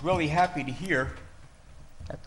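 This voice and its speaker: A man with vocal fry speaks at a moderate pace amid audible room echo. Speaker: resident speaking at public comment. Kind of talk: public comment at town board meeting. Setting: town board meeting hall. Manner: loud; softer since hearing aids.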